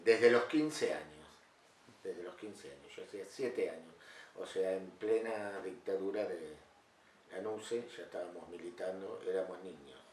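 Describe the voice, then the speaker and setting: Amid audible room echo, a man speaks at a fairly slow pace with big swings in loudness. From Argentina, Mar del Plata. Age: 60s. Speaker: carpenter and former political activist. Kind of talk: interview testimony. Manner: halting, many fillers.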